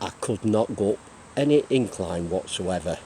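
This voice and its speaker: A man's fairly low voice with an English accent, ordinary pitch variation and a moderate pace. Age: 60s. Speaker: retired cyclist vlogger. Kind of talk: casual vlog monologue. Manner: hesitant, many fillers.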